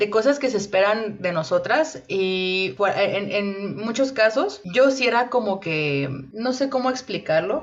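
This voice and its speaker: Woman at a medium pitch, fairly slow pace, with noticeable background noise. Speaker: podcast co-host. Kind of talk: casual chat. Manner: loud; halting.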